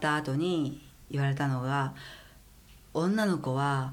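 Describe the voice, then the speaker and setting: The speech moves at a very slow pace with fairly even intonation. Audible room echo surrounds it. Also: woman. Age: 50s. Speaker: stylist. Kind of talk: casual chat.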